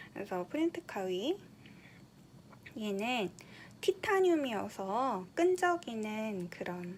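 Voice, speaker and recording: A woman's somewhat breathy, fairly high voice at a very slow pace, with long, frequent pauses and very wide pitch swings. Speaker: kindergarten teacher making teaching materials. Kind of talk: tutorial. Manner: casual, with frequent fillers.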